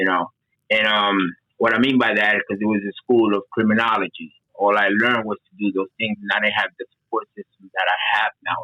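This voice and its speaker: A man with a Spanish accent, fairly low-pitched, fairly quick and monotone, with flat intonation. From Dominican Republic. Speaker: certified peer advocate. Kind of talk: podcast interview, personal testimony.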